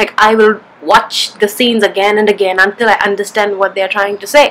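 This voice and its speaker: Noticeable background noise sits behind a woman's voice. She speaks at a very fast pace with a medium pitch. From southern India, Kerala. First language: Malayalam. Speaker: vlogger. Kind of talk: casual vlog monologue.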